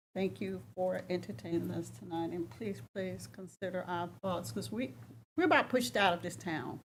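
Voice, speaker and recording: On a very clean recording with a silent background, a woman of medium pitch with an American accent shows vocal fry and lively intonation. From US South. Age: 70s. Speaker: public commenter at town council meeting. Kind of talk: public comment. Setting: council chamber meeting.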